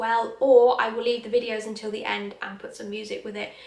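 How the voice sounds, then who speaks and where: The speech moves at a moderate pace, and room echo is audible. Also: woman. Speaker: vlogger. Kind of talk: casual vlog chat. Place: home room. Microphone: phone near.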